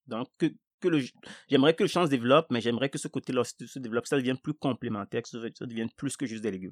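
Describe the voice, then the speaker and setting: Speaking at a very fast pace with a West African accent, a man with a medium pitch shows ordinary pitch variation and big swings in loudness, on a very clean recording with a silent background and a dry, close sound with no echo. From Togo, Lomé. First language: Ewe (speaking French). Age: 40s. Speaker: market gardener. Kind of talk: casual chat.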